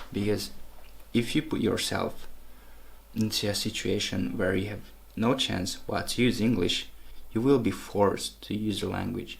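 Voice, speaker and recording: In a non-native accent, the speaker goes at a moderate pace with long, frequent pauses, and the room echo is audible. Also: man. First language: not English. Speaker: language-learning vlogger. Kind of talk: tutorial. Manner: casual, with hesitations.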